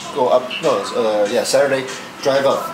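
The speech moves at a moderate pace. Music is clearly heard in the background. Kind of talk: casual conversation. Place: home room. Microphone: phone near.

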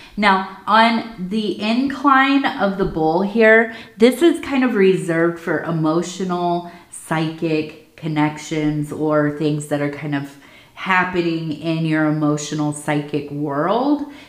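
At a very slow pace, a woman speaks in a fairly low pitch amid audible room echo. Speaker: tea leaf reader. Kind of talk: casual divination reading. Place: home room.

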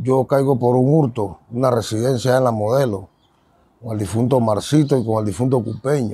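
A man's voice, dark and mellow in tone, moves at a moderate pace with ordinary pitch variation. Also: medium pitch for a man. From Panama, San Miguelito. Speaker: ex-convict turned preacher. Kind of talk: testimony. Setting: outdoors.

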